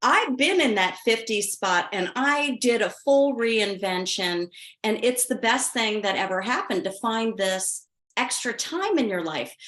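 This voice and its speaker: Using a normal speaking voice, this woman has a fairly high pitch and lively intonation as she goes at a fairly slow pace. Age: 60s. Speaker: interviewer, wellness author. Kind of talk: interview.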